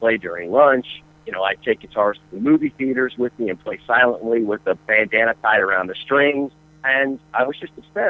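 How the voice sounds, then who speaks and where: A man speaks in a plain, everyday voice. He has an American accent and ordinary pitch variation. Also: medium pitch for a man, fairly quick pace. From US South, North Carolina and Atlanta. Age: 40s. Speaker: rock guitarist. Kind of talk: interview. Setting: radio show.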